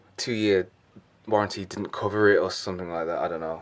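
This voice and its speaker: This is a man speaking. He talks in a London accent. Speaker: fitness vlogger and bodybuilder. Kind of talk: casual vlog.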